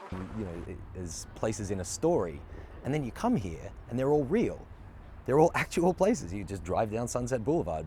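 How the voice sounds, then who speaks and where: Somewhat breathy and dark, mellow in tone, a man with an Australian accent speaks at a moderate pace and medium pitch with very wide pitch swings. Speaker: actor. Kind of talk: interview.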